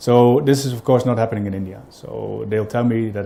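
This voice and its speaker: A man with a Dutch accent at a fairly quick pace, with fairly even intonation. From Netherlands. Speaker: business owner, client. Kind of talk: customer testimonial interview. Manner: halting, many fillers.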